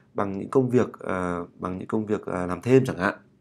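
A man speaks with lively intonation and a very fast pace, captured on a very clean recording against a silent background. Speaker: English writing teacher. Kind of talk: tutorial. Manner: hesitant with many fillers.

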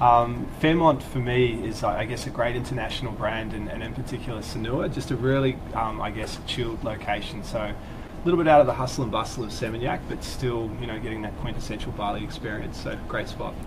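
Over noticeable background noise, a man speaks very fast at a medium pitch with ordinary pitch variation. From Australia. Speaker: travel company staff. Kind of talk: casual chat. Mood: relaxed, friendly. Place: studio. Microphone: lapel.

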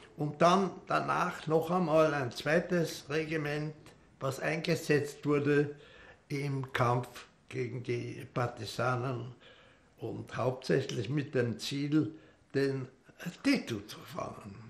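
Very slowly, a man speaks with vocal fry. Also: ordinary pitch variation. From Austria. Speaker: war veteran. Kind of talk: interview answer. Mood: calm, reflective. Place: home room.

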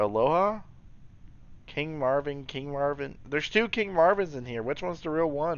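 At a moderate pace, a man with fairly high pitch and lively intonation speaks in a dry sound with no echo. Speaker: gaming commentator. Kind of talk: gameplay commentary. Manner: animated; occasional mispronunciations. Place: home room.

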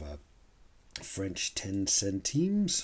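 The pace is very slow. A man speaks in a relaxed tone. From Canada. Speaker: coin collector YouTuber. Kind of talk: hobby video commentary. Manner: relaxed, with frequent fillers and self-corrections.

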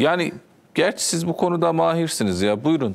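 His voice rises and falls in very wide pitch swings as the man speaks. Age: 30s. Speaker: TV talk show host. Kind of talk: TV interview. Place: studio. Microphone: lapel.

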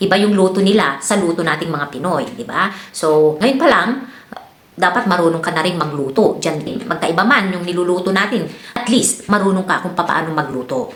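A woman's fairly low-pitched voice at a fairly quick pace with lively intonation, amid audible room echo and noticeable background noise. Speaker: vlogger and domestic worker abroad. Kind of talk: advice vlog. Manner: casual, many fillers.

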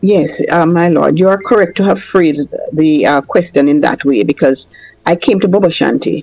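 Noticeable background noise behind a woman's fairly low voice, lively in intonation and moderate in pace. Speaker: attorney. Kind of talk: casual chat.

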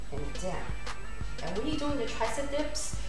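A woman is speaking. Audible room echo surrounds her, and clear music plays in the background. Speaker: fitness instructor. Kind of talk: workout instruction. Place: home room. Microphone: camera far.

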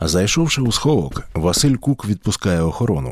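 At a moderate pace, a man speaks in a fairly low pitch with very wide pitch swings, the sound dry and close with no echo. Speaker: narrator. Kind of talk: history podcast narration.

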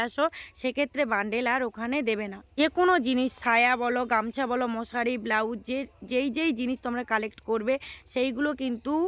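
A woman speaks with a high pitch. Her intonation stays fairly even. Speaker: shopping vlogger. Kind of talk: walking market vlog. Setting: outdoors at street market.

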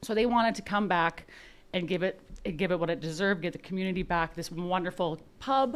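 The pace is fairly quick. It's a woman, with ordinary pitch variation. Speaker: guest. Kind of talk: interview answer. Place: studio. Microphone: studio mic.

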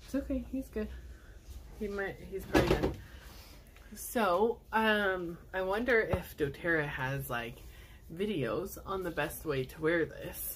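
A woman speaking with long, frequent pauses over noticeable background noise. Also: fairly slow pace. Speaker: video blogger and essential oils seller; product seller. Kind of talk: product unboxing video; casual unboxing vlog chat. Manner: casual, filler-heavy. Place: home room. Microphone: phone near.

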